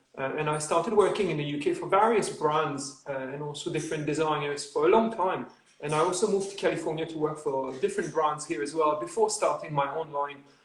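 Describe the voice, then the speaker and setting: Over noticeable background noise and audible room echo, a man talks at a very fast pace with hardly any pauses. His pitch is fairly high, with ordinary variation. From Quebec, Canada. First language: French. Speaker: footwear designer. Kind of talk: interview.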